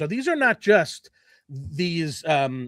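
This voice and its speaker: Recorded dry and close with no echo, a man with an American accent and a high pitch speaks in an animated tone with lively intonation. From New Jersey. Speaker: podcast host. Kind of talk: casual chat. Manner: loud.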